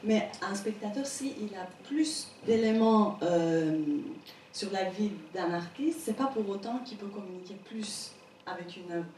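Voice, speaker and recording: A woman with a Persian accent speaks very slowly at a medium pitch, with lively intonation and big swings in loudness. Noticeable background noise and audible room echo are present. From Iran, Tehran. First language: Persian (speaking French). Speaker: painter. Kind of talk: interview before an audience. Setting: stage with audience.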